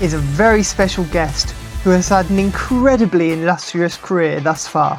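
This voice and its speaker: Over music in the background, a woman with a fairly low pitch speaks at a moderate pace with lively intonation. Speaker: podcast host. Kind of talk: podcast intro.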